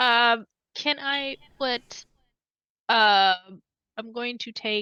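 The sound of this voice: A woman speaks at a fairly high pitch with ordinary pitch variation, in a clear, smooth tone that is also bright and sharp. The sound is dry and close, with no echo.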